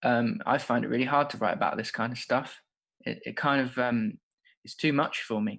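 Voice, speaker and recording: Against a quiet background, a man talks at a fairly quick pace and a medium pitch. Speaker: creative writing workshop host. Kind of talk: guided writing exercise.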